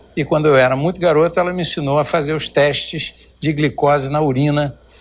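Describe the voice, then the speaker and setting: Fairly high in pitch, a man talks at a fairly quick pace with monotone, flat intonation. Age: 60s. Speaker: endocrinologist. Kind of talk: TV interview.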